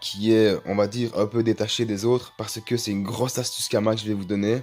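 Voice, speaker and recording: Music plays in the background as a man talks. His medium-pitched voice stays monotone and flat. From Belgium. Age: 20s. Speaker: gaming YouTuber. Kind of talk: casual gaming tutorial.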